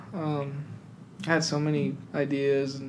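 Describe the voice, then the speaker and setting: There is audible room echo around a man whose pitch sits fairly high. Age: 20s. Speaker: gym club founder. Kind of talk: casual chat.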